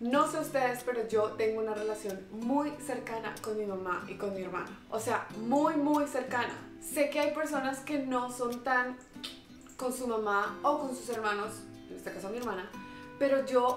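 Clear music plays in the background as a woman talks at a high pitch and a fairly slow pace with ordinary pitch variation. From Colombia. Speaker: vlogger. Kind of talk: emotional personal message to camera. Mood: warm, emotional, affectionate. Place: home room.

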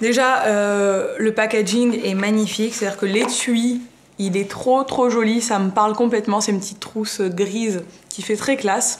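A woman speaks at a moderate pace with a fairly high pitch. Her intonation is monotone and flat, with light background noise behind her. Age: 20s. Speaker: beauty and fashion youtuber; fashion youtuber. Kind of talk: haul video, casual talk to camera. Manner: casual, chatty with many fillers. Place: home room. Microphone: phone near.

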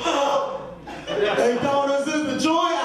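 A man is heard with strong room echo and noticeable background noise. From New York City. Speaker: stand-up comedian. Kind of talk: stand-up comedy set, rapid-fire jokes, slang and impressions. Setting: stage with audience, comedy club. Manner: animated, fast, punchy; playful, voices characters. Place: stage. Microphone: pa.

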